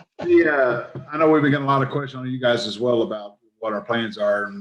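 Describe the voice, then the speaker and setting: A man speaks at a medium pitch with lively intonation and a very fast pace. His loudness swings widely from moment to moment. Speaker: council member. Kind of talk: council meeting discussion. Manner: soft-spoken.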